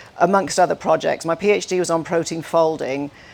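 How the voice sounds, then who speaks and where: A woman speaks with a Welsh accent. Her pitch is fairly low and her intonation fairly even. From Wales. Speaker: scientist and speaker. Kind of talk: conference talk.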